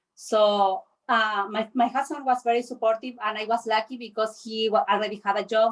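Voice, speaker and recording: With a Spanish accent, a woman speaks at a moderate pace in a fairly high pitch and fairly even intonation. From Chile. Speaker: panelist. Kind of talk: panel discussion.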